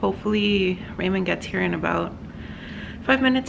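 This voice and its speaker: Over clearly noticeable background noise, this woman's speech moves fairly quickly. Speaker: dog owner vlogger. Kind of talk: casual vlog chat. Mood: anxious, waiting for news. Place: home room. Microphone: phone near.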